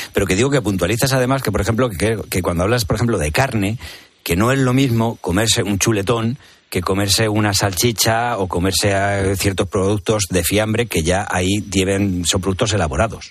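Keeping very even loudness, a man talks at a moderate pace in a normal speaking voice, fairly low in pitch with ordinary pitch variation. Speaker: radio host. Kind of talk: radio magazine interview. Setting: radio studio.

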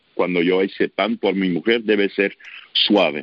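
A man with a fairly low pitch speaks at a fairly slow pace with fairly even intonation. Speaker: baker, sourdough expert. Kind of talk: radio interview. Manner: halting, with filler sounds.

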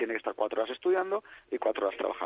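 This man's voice comes across dry and close, with no echo at all. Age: 40s. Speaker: esports league project manager. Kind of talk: radio interview.

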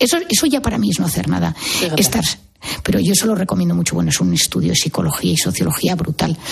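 Over noticeable background noise, someone talks very fast. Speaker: psychiatrist. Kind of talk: radio interview.

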